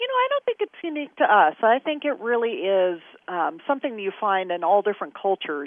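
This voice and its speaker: With an American accent, a woman talks at a very fast pace. Her fairly high voice makes very wide pitch swings. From Kansas. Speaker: flag scholar. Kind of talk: interview.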